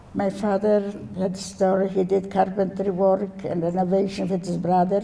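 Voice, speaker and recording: Speaking in a monotone, flat way, a woman keeps a medium pitch and a moderate pace. The room echo is audible and background noise is noticeable. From Poland, Warsaw. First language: Yiddish. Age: 90s. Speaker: Holocaust survivor. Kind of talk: testimony. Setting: stage with audience. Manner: halting.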